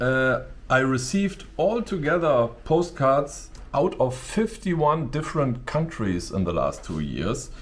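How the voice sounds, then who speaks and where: A man with a strong German accent talks fairly slowly at a fairly high pitch, his pitch swinging very widely, with noticeable background noise. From Germany. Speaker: YouTuber. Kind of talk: casual vlog talk to camera. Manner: halting, with many fillers.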